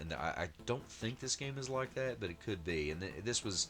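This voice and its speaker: A man talks at a fairly quick pace, mumbling with vocal fry. His pitch swings very widely. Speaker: retro gaming YouTuber. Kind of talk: gameplay commentary. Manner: halting, many fillers.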